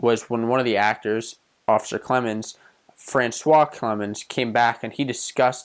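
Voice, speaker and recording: Speaking at a fairly slow pace with a Pittsburgh accent, a man keeps his medium-pitched voice in fairly even intonation. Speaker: movie reviewer. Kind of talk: casual movie review to camera.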